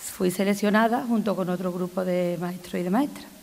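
A woman at a moderate pace. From Andalusia, Spain. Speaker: retired teacher. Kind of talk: personal speech reading. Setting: stage with audience. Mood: warm, nostalgic, humorous. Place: hall. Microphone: podium.

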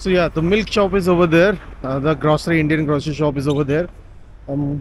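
A man speaks at a fairly quick pace with fairly even intonation. Light background noise sits behind him. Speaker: travel vlogger. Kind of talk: casual vlog chat. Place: street. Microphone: phone near.

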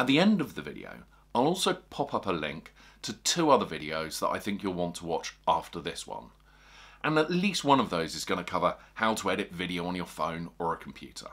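A man talks at a fairly quick pace with a quiet background. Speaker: fishing video creator. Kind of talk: tutorial. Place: home room.

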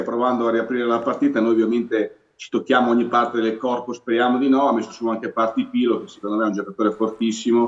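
The background is quiet as a man rattles off his words very fast. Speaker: guest football fan commentator. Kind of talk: commentary. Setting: video call. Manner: excited, enthusiastic. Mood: pleased, upbeat about the win. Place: home room. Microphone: video call.

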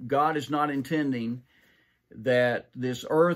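The intonation is fairly even, over a quiet background. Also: man. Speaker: pastor. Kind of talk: sermon. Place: office. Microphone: webcam.

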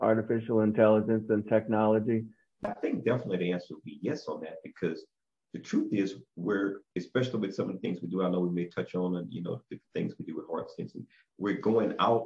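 In a plain, everyday voice, the speaker talks at a fairly quick pace with ordinary pitch variation over a quiet background. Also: man. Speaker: guest. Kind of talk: interview answer. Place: office. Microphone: video call.

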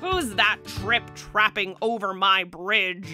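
A female-sounding voice bellows in a put-on character voice at a medium pitch and a very slow pace. Clear music plays in the background. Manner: roaring, menacing.

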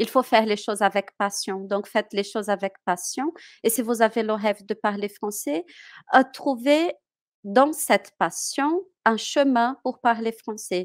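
A woman speaks fairly slowly, her pitch varying in an ordinary way, with a quiet background behind her. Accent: Portuguese. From Brazil. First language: Portuguese (speaking French). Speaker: French teacher. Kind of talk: interview. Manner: halting. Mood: warm, encouraging. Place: home room. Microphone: headset.

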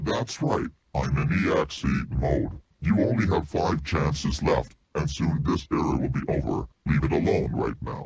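A man puts on a character voice with a very deep, low pitch, speaking at a moderate pace. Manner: menacing.

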